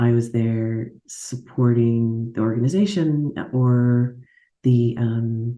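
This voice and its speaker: A woman with a very deep, low voice and a dark, mellow tone speaks very slowly in an American accent with fairly even intonation. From Alaska, US. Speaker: agile coach and facilitator. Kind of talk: interview. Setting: video call.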